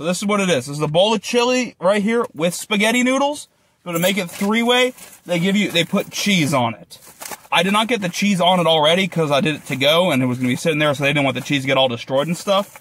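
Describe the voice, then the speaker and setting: A man's high voice at a very fast pace, dry with no echo. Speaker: food vlogger. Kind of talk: casual vlog chat. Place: car. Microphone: phone near.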